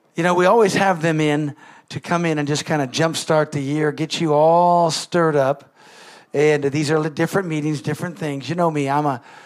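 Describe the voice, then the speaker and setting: An ordinary speaking voice moves at a moderate pace with fairly even intonation, captured on a very clean recording with a silent background. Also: man, fairly high pitch for a man. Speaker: pastor. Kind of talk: warm church announcements and offering appeal. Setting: church.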